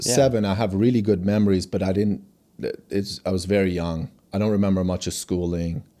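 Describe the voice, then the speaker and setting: A man talks at a fairly quick pace in a very deep, low pitch, his tone dark and mellow and his intonation fairly even. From Iran (Tehran), raised in USA from age 7. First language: Farsi. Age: 40s. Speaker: company founder and CEO. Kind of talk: interview conversation. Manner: halting, many restarts.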